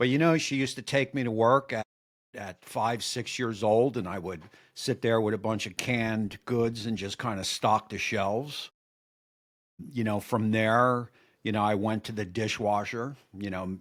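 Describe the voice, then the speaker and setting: A man's medium-pitched voice with a New Jersey accent, at a moderate pace with fairly even intonation, on a very clean recording with a silent background. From New Jersey (Woodbridge area). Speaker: cooking YouTuber, former line cook. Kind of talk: casual interview chat.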